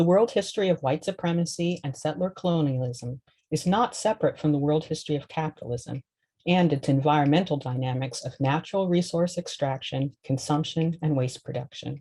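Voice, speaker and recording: Somewhat breathy and dark and mellow in tone, a woman's very deep, low voice moves at a fairly quick pace with ordinary pitch variation. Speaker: law professor. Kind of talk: lecture. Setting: recorded video lecture with screen share. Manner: fast; read from script, occasional stumbles.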